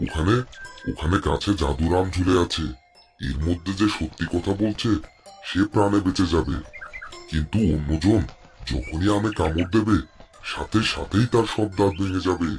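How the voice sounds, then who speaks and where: Using a cartoonish character voice, a man speaks at a moderate pace with a calm tone and very deep, low pitch as faint music plays in the background. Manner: calm, helpful.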